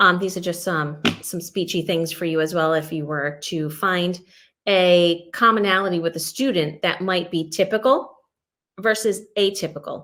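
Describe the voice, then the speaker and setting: This woman has a plain, everyday voice, pitched fairly low, with ordinary pitch variation and a moderate pace. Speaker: educator presenting on English learners and MTSS. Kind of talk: webinar presentation.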